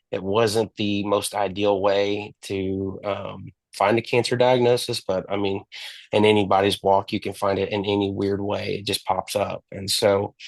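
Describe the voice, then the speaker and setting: In a quiet background with a dry, close sound and no echo, a man talks at a moderate pace in a fairly low, flat monotone. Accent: Texan. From Texas. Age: 20s. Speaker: cancer survivor. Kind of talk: interview testimony. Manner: halting.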